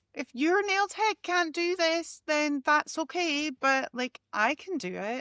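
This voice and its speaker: A woman with a strong Scottish accent raises and projects her high, bright, sharp voice with lively intonation. The sound is dry and close, with no echo. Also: very clean recording, silent background. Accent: Scottish, strong and brash. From Scotland. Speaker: nail technician and podcast co-host. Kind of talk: casual chat. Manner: brash; animated.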